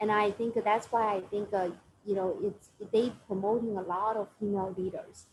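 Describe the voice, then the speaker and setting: A woman with a Chinese accent speaks at a moderate pace and medium pitch. Her voice is somewhat breathy, the intonation monotone and flat. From China. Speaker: finance professional. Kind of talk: Q&A with students. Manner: halting.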